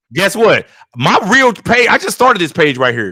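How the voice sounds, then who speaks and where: Animated and bright, a man's sharp-toned voice is raised and projected. His pitch swings very widely at a moderate pace. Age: 40s. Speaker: YouTuber, track and field commentator. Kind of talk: heated debate. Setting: live stream.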